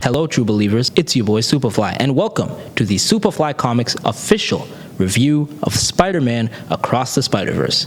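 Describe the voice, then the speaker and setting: A man speaks at a medium pitch with lively intonation and a moderate pace. Noticeable background noise runs underneath. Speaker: comic book movie reviewer. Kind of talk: video review. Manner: usually over-the-top.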